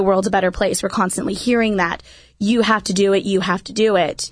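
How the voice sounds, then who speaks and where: In a quiet setting, a woman with an American accent speaks at a medium pitch in a plain, everyday voice. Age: 20s. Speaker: youth minister. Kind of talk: radio interview. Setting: studio.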